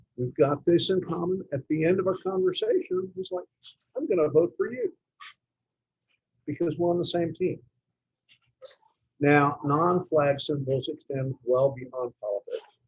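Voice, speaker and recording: Speaking in a Texan accent, a man talks at a high pitch with ordinary pitch variation. He goes at a fairly slow pace with long, frequent pauses. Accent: Texan American. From Texas. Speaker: club presentation speaker. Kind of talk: talk to a club.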